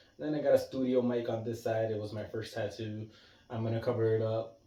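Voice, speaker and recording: Through audible room echo, a man with a dark, mellow, somewhat breathy tone speaks at a medium pitch and a fairly quick pace. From Puerto Rico. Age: 30s. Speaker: vlogger. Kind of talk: casual chat. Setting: living room at home. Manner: fast; animated.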